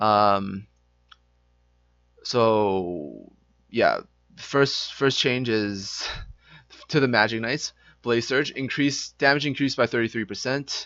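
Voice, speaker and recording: A man speaks loudly at a very slow pace, with ordinary pitch variation. Long, frequent pauses break up his speech. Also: medium pitch for a man. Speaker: gaming youtuber. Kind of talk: game patch review. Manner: trying to speak loudly; casual, hesitant with fillers.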